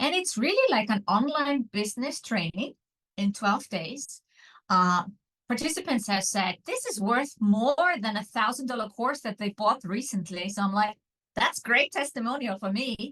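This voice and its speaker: Bright and sharp in tone, a woman speaks with an Icelandic accent at a fairly high pitch. Her pace is moderate and her intonation lively. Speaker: online business mentor. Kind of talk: interview.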